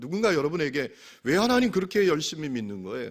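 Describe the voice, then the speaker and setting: At a moderate pace, a man with a fairly high pitch speaks with very wide pitch swings. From Gangwon Province, South Korea. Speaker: pastor. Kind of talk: sermon. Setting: church service with congregation.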